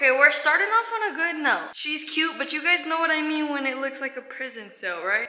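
A woman's raised, projected voice at a fairly quick pace, with audible room echo. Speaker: vlogger. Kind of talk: casual vlog chat. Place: home room. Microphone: phone near.

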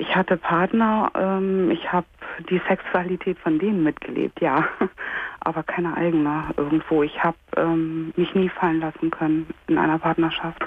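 A woman speaks at a moderate pace with a fairly low pitch and a monotone, flat intonation. Light background noise is present. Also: very even loudness, dry sound with no echo. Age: 30s. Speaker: caller. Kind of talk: phone-in call, personal testimony. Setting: phone call. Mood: hesitant, painful personal disclosure. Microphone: phone line.

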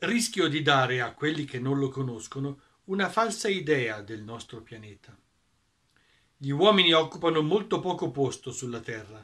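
A man speaks at a moderate pace in a bright, sharp tone, with very wide pitch swings and big swings in loudness. Long pauses come often, and the background is quiet. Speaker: audiobook narrator. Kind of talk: narration of the author's own commentary. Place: home room. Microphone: webcam.

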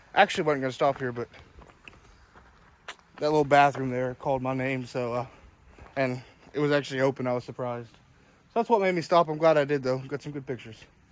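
A man at a very fast pace, with ordinary pitch variation and a dry sound with no echo. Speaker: travel photographer vlogger. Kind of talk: casual vlog chat. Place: forest. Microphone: phone near.

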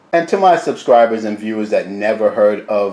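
A man speaks with audible room echo. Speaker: home cooking channel host. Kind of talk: product review tutorial. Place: kitchen. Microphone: phone near.

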